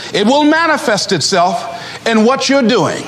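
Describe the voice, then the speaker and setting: A man's extremely high, energetic voice with lively intonation, at a moderate pace over noticeable background noise. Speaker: motivational speaker. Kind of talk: motivational speech to a live audience. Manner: energetic, emphatic, humorous.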